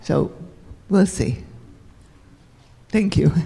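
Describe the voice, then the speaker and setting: This woman has a dark, mellow tone and speaks at a fairly slow pace. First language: Hungarian. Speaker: Holocaust survivor speaker. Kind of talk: Q&A after talk.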